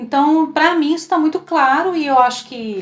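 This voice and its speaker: A woman speaks at a moderate pace. Her high pitch shows ordinary variation. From southern Minas Gerais, Brazil (Três Corações). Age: 50s. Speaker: customer service supervisor. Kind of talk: interview.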